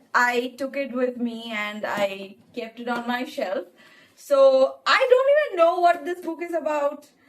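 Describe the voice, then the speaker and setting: A woman with a Bengali accent, high-pitched, at a fairly slow pace. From India, Bengali-speaking. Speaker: book vlogger. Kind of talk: casual vlog narration.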